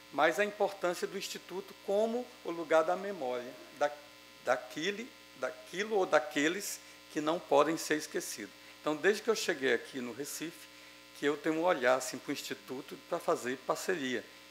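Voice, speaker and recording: A man with lively intonation and a fairly high pitch talks at a moderate pace. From Ceará, Brazil. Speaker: academic speaker at a ceremony. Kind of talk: formal ceremonial speech. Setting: legislative assembly session. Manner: hesitant, many fillers.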